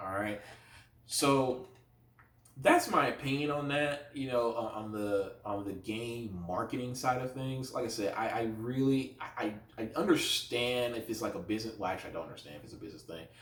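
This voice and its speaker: An animated man speaks with ordinary pitch variation and big swings in loudness, with audible room echo and noticeable background noise. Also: medium pitch for a man. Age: 20s. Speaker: YouTuber. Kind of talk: casual rant to camera. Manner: fast.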